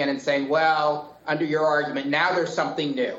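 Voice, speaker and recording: A man talks very fast in a fairly high pitch. Noticeable background noise runs underneath. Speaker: appellate judge. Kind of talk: oral argument. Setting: video call.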